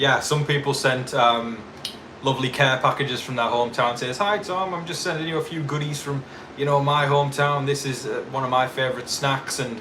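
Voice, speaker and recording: Recorded with audible room echo and noticeable background noise, a man speaks at a fairly quick pace. His pitch is fairly high, and he has a northeast English accent. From northeast England. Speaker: YouTube TV show commentator. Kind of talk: live stream chat. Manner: casual, animated.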